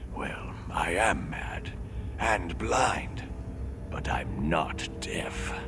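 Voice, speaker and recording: A man whispers in a put-on character voice at a very slow pace. Loud background noise runs underneath. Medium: video game. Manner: rambling, rhyming singsong.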